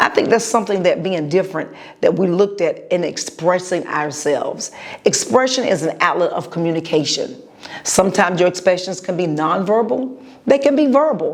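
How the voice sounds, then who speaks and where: A woman's medium-pitched voice, lively in intonation, comes through over noticeable background noise. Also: fairly quick pace. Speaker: podcast host and preacher. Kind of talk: motivational podcast monologue. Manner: pauses to gather thoughts.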